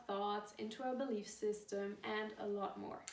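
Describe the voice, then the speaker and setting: A woman speaks at a moderate pace in a German accent. Audible room echo and noticeable background noise surround her voice. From Germany. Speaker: course founder and coach. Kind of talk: video talk to camera.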